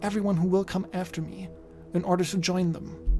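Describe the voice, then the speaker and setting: Noticeable background noise runs under the speech. The delivery is fairly quick, with fairly even intonation. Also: woman. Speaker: video essayist. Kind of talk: video essay narration.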